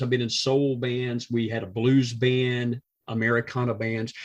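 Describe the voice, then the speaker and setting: Moderate pace from a man with a Georgia accent, medium pitch and monotone, flat intonation. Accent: southern US (Georgia). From US South, south Georgia. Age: 60s. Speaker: musician, retired teacher. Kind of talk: casual interview chat.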